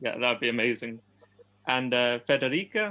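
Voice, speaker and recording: With a London accent, a man speaks at a moderate pace in a bright, sharp tone. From England, London. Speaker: ESL teacher, event host. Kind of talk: casual chat. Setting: video call.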